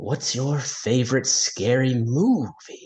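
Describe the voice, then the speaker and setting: A man uses a put-on character voice at a medium pitch, speaking at a fairly slow pace. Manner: menacing.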